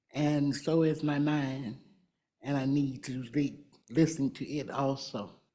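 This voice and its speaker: Amid audible room echo, a woman with a very deep, low pitch and a dark, mellow tone speaks at a very slow pace with fairly even intonation. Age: 80s+. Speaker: community representative on a board. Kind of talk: board meeting remarks. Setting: hybrid public meeting at city hall.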